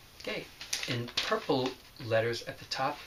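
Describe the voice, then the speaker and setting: A man with an American accent at medium pitch and a fairly slow pace, against noticeable background noise. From New York City, the Bronx. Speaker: teacher. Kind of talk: remote lesson, reading aloud. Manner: careful, clear enunciation.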